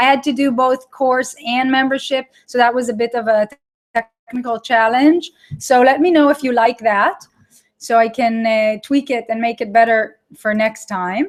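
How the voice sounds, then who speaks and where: A woman speaks in a high voice with ordinary pitch variation. She has an Israeli accent. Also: moderate pace. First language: Hebrew. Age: 30s. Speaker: online course creator. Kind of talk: live webinar with audience chat. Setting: live online broadcast. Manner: animated.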